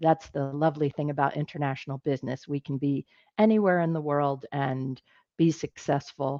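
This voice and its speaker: With an American accent, a woman speaks at a very deep, low pitch. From United States. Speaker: business executive, presenter. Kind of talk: webinar presentation. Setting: online webinar from home office in garden. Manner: many filler words, hesitant.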